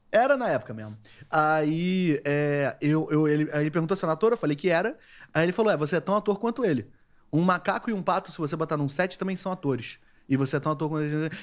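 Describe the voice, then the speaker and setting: Over a quiet background, a man talks at a very fast pace. His fairly high voice carries lively intonation. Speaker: podcast co-host; podcast host. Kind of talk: casual chat. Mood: amused, joking. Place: studio. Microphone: studio mic.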